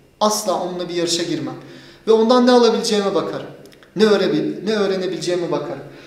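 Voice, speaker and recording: A man's high-pitched voice at a very fast pace, with ordinary pitch variation and audible room echo. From Turkey. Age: 30s. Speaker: martial arts instructor. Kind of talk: casual interview. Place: gym. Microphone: camera far.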